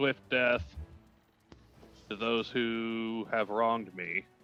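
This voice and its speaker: A man does a put-on character voice at medium pitch and a very slow pace, with faint music in the background. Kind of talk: solemn, incantatory.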